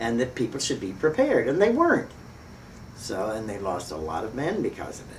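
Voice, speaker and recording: A woman's very deep, low voice against noticeable background noise. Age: 80s+. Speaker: widow of a war hero. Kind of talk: oral history interview answer.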